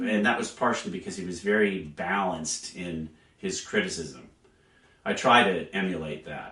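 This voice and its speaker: A man's very deep, low voice at a moderate pace, with ordinary pitch variation and big swings in loudness. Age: 60s. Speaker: orchestral English horn player. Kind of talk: interview. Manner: hesitant, many fillers.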